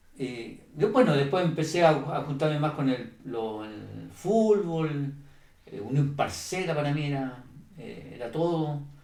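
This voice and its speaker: A man's fairly high voice with lively intonation at a fairly slow pace, amid noticeable background noise and audible room echo. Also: big swings in loudness. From Chile. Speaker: church member giving testimony. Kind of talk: testimony. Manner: halting, with many fillers.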